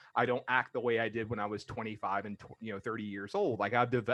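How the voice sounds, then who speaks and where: Over a quiet background, a man talks with ordinary pitch variation in a plain, everyday voice. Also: dry, close sound with no echo. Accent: American. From Georgia, US South. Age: 40s. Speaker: podcast host. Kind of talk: casual chat.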